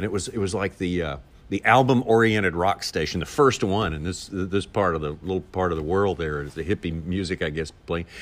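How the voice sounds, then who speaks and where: With a Southern US accent, this man speaks at a very deep, low pitch and a fairly quick pace, using ordinary pitch variation. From Arkansas, US South. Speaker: TV fishing show narrator and voiceover artist. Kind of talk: casual interview.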